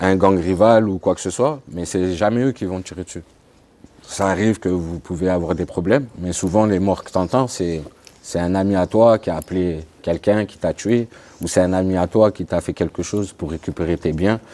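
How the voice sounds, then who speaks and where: Very deep and low, a man's voice has a dark, mellow tone, ordinary pitch variation and a moderate pace. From France, Grenoble. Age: 30s. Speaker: ex-convict sharing his life story. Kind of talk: testimony interview.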